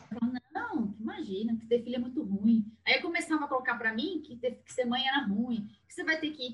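Her high voice rising and falling in a lively way, a woman talks fairly quickly with big swings in loudness. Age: 40s. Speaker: therapist. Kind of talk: casual chat.

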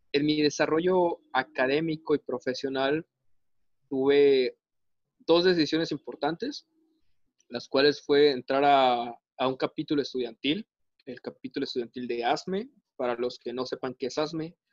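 A man speaks at a fairly slow pace with fairly even intonation and long, frequent pauses, the sound dry and close with no echo. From Veracruz, Mexico. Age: 20s. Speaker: mechanical engineer. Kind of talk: casual interview. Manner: hesitant, many fillers.

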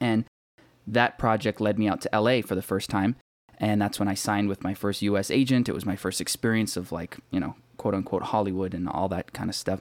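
A man with a normal speaking voice talks at a fairly quick pace in a fairly low pitch with fairly even intonation. The sound is dry and close, with no echo. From Canada, Toronto area. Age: 20s. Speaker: actor and rapper. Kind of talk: casual interview.

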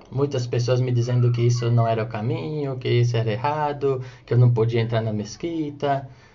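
Amid audible room echo, a man of medium pitch talks at a moderate pace with fairly even intonation and hardly any pauses. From Brazil, São Paulo coast (Guarujá). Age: 30s. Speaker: religious speaker. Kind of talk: religious talk. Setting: recorded audio for radio.

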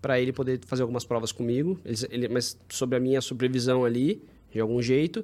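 Very fast speech from a man, dark and mellow in tone, with fairly even intonation, on a very clean recording with a silent background. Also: medium pitch for a man. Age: 30s. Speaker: running content filmmaker. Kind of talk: casual chat.

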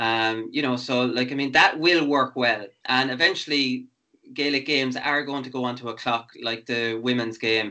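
Here a man speaks with an Irish midlands accent. His pitch is medium, with ordinary variation. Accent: Irish, Laois (midlands). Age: 40s. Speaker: sports podcast host, former footballer. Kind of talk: casual interview.

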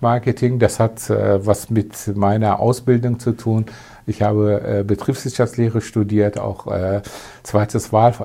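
A man speaks fairly slowly with a Turkish accent, his fairly low voice dark and mellow, somewhat breathy, and delivered in a flat monotone. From Turkey, moved to Germany at eleven. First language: Turkish (speaking German). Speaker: advertising agency owner. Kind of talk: interview.

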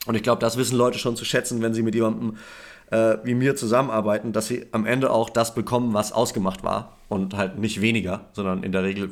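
A man at medium pitch, very fast and monotone with flat intonation, in a very clean recording with a silent background. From Germany. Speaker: photographer. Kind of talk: podcast interview. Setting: call.

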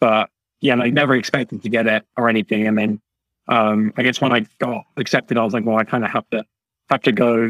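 At a fairly quick pace, a man speaks at medium pitch. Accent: British. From UK. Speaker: university student. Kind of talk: casual interview. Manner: halting, many fillers.

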